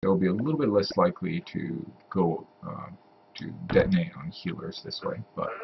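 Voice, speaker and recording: Noticeable background noise sits behind the voice. A man is soft-spoken. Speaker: gaming tutorial youtuber. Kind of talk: tutorial. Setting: home at night. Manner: hesitant.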